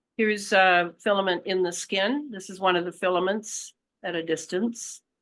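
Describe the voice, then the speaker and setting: Over a quiet background, a woman with a medium pitch and ordinary pitch variation speaks at a fairly slow pace in a bright, sharp tone. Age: 70s. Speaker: author and researcher on conspiracy topics. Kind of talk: interview.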